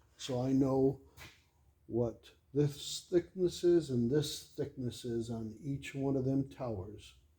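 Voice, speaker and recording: Very slowly and somewhat breathily, a man speaks at a medium pitch with ordinary pitch variation and a dark, mellow tone. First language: not English. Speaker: engine builder. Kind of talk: workshop tutorial. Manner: casual, with frequent fillers.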